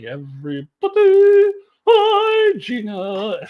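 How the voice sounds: In a put-on character voice with a British accent, the speaker uses an extremely high pitch. The delivery is very slow.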